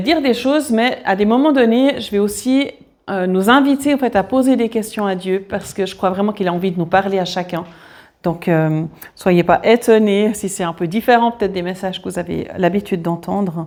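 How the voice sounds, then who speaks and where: In a Swiss accent, a woman talks at a moderate pace and medium pitch with lively intonation. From Switzerland. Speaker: guest preacher. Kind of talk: sermon. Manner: hesitant, many fillers.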